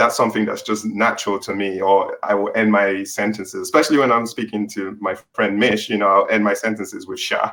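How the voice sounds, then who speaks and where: A man with an English accent talks at a fairly quick pace, hardly pausing at all. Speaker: author and tech worker on a panel. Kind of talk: panel discussion.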